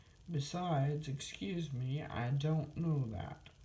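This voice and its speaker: A woman speaks at a very slow pace in a dark, mellow tone, somewhat breathy and with lively intonation. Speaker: storyteller reading aloud. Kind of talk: children's storybook reading.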